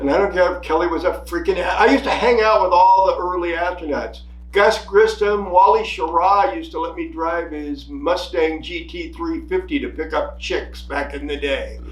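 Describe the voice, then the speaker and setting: Against audible room echo, a man with an American accent talks at a moderate pace with hardly any pauses. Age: 70s. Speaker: podcast co-host, army veteran. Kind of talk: casual political chat. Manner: animated.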